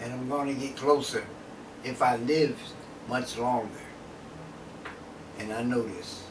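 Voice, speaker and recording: Through noticeable background noise and audible room echo, a man at a medium pitch speaks at a fairly slow pace with fairly even intonation and long, frequent pauses. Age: 70s. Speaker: drug user interviewee. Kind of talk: interview.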